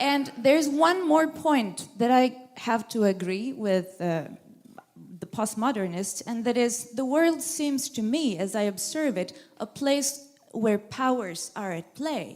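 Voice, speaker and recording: A woman with a non-native accent speaks at a high pitch and fairly slow pace. Her intonation is lively, over noticeable background noise. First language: not English. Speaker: audience member asking a question. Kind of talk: audience question at a lecture. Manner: halting.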